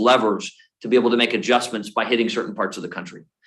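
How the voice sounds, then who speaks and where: A man is speaking. The room echo is audible. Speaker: military recruiting leader. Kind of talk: conference presentation and Q&A. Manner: fast.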